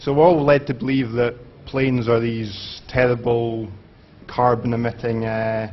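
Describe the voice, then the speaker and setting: With a Scottish accent, a man speaks at a moderate pace with fairly even intonation and audible room echo. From Scotland. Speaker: conference speaker. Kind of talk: conference talk. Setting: stage with audience. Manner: halting, many fillers.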